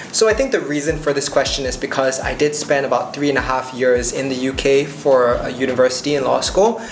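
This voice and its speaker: Here a man speaks fairly quickly in a fairly high pitch with ordinary pitch variation and hardly any pauses. Audible room echo and noticeable background noise surround him. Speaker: lawyer and YouTuber. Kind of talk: casual commentary reading and answering comments. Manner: off the cuff, conversational.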